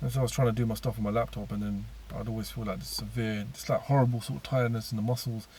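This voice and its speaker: A man speaks very fast in a very deep, low pitch with very wide pitch swings. His tone is dark and mellow and somewhat breathy. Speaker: YouTuber sharing personal spiritual story. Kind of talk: personal testimony. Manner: halting.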